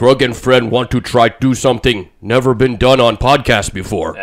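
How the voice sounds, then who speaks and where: Put-on character voice by a man, medium pitch, moderate pace. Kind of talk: broken, simple speech. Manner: slow.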